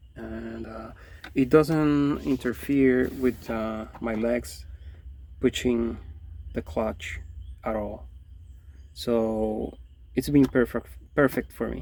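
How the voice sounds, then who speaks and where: A man with a non-native accent, a very slow pace, long and frequent pauses and big swings in loudness. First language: not English. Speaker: DIY car vlogger. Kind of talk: tutorial. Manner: halting; casual.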